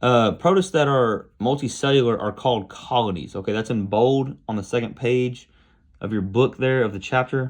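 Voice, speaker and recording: With an unremarkable speaking voice, a man of medium pitch talks at a moderate pace against a quiet background. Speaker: biology teacher. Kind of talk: recorded lecture. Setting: recorded alone without students.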